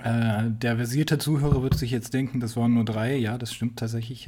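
A somewhat breathy man speaks at a moderate pace and medium pitch. His tone is dark and mellow, with ordinary pitch variation. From Saxony, Germany. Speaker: podcast co-host, university student. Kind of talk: casual chat. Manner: halting, many fillers.

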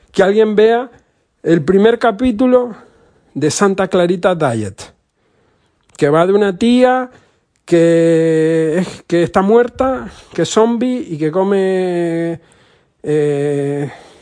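Long, frequent pauses mark this man's very slow speech. His pitch is high and his tone dark and mellow. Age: 40s. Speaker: podcaster. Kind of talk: casual monologue. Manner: halting.

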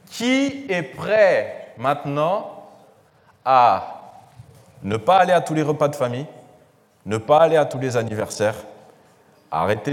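A man talks at a very slow pace with a fairly high pitch. Audible room echo surrounds the voice. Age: 20s. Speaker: financial education trainer. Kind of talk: talk to church audience. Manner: hesitant, many fillers.

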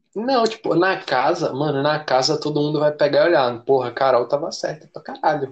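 A man in a normal speaking voice with a fairly high pitch and ordinary pitch variation, at a moderate pace with hardly any pauses. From Brazil. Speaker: podcast co-host. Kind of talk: casual chat.

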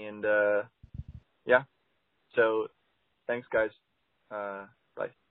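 Very slowly, with long, frequent pauses, a man speaks in a flat monotone at a fairly low pitch. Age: 20s. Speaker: caller. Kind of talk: voicemail message.

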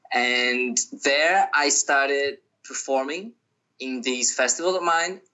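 Speaking with a Brazilian accent, a man talks at a fairly slow pace with a fairly high pitch and ordinary pitch variation. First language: Portuguese. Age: 20s. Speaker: touring musician. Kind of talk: casual interview.

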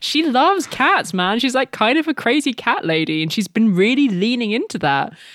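A woman's fairly high voice at a moderate pace, with very wide pitch swings and hardly any pauses, over noticeable background noise. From France. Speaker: journalist and podcast co-host. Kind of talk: casual chat.

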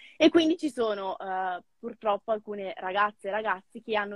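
A woman talks at a medium pitch. The recording is dry and close, without echo. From northern Italy, Novara province. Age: 20s. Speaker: former au pair and mentor. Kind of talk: casual interview. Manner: animated.

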